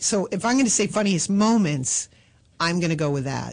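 A woman with fairly low pitch and vocal fry speaks with very wide pitch swings. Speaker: film actress and comedian. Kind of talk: casual interview chat. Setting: studio.

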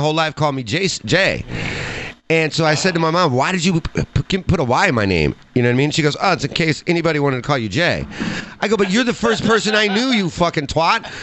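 A man with an American accent talks at a very fast pace in a fairly high pitch, his intonation lively and his loudness very even, over noticeable background noise. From Chicago area, US. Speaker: podcast guest and sports fan. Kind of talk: casual banter, joking chat. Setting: livestream with video.

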